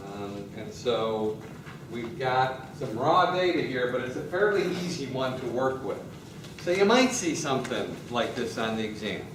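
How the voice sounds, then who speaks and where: Through noticeable background noise and audible room echo, a man with a medium pitch speaks with lively intonation. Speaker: university professor. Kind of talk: lecture. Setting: classroom.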